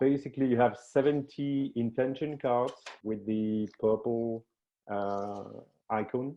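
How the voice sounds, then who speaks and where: Speaking at a fairly slow pace with a French accent, this voice keeps a fairly even intonation and leaves long, frequent pauses. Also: man, medium pitch for a man. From France. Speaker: professional team coach and game designer. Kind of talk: interview. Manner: halting, with many fillers and repetitions.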